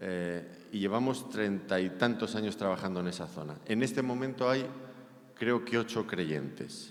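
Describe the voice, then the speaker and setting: A fairly low-pitched man with a Spanish accent and lively intonation at a moderate pace, with audible room echo. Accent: Spanish (Spain). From Spain. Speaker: preacher. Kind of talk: sermon.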